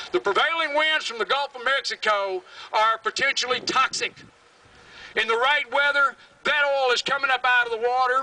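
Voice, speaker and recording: In a Southern US accent, a man speaks at a moderate pace in a raised, projected voice with a passionate, angry tone and dry sound with no echo. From US South, Alabama. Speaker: environmental activist, creek keeper. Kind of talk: rally speech, fiery and defiant, addressed to a crowd. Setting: stage with audience at rally. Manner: passionate, angry, loud, blunt and emphatic; animated, storytelling with vivid detail. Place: stage.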